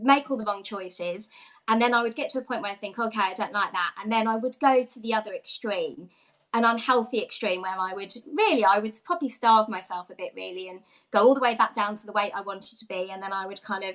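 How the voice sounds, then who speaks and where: A woman's fairly high voice at a very fast pace, with ordinary pitch variation and big swings in loudness. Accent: London. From London area, Watford. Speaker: fitness coach, former nursery manager. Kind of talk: interview.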